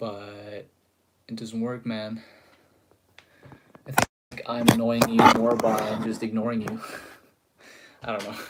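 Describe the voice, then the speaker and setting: A man talks at a fairly slow pace in an American accent. His intonation is monotone and flat, broken by long, frequent pauses. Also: medium pitch for a man, big swings in loudness. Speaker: guitar teacher / livestreamer. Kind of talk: live stream guitar lesson, chatting with viewers. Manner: casual, filler-heavy.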